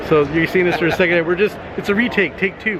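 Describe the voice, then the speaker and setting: A man with an American accent talks at a very fast pace and a high pitch, with audible room echo and noticeable background noise. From Los Angeles. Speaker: cartoonist vlogger. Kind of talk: casual vlog. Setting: convention hall.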